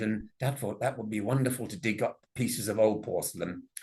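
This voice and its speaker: A man's somewhat breathy voice with an English accent. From Worcester, England. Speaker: ceramics auctioneer and TV antiques expert. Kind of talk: public lecture.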